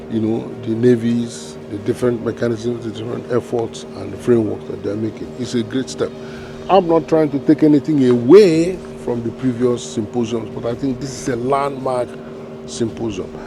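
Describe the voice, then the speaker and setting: A man talks at a moderate pace with very wide pitch swings while noticeable background noise runs underneath. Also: medium pitch for a man. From Nigeria. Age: 60s. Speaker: retired diplomat, regional maritime commission official. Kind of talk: interview. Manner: hesitant with fillers.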